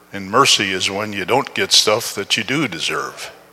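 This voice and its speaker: A fairly slow voice in an American accent over noticeable background noise. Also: man. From Upper Peninsula of Michigan, US. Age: 70s. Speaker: guest preacher. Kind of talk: sermon. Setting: church.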